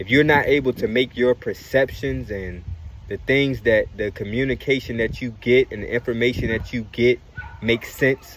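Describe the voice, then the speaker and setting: A man's medium-pitched voice at a fairly slow pace, fairly even in intonation, over noticeable background noise. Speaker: spiritual video creator. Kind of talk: spiritual monologue. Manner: careful, deliberate wording.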